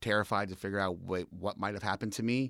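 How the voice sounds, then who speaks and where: A man with an American accent and a fairly low pitch talks at a fairly quick pace. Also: very clean recording, silent background. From eastern Pennsylvania, Allentown area. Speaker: person in recovery, community advocate. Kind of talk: casual interview.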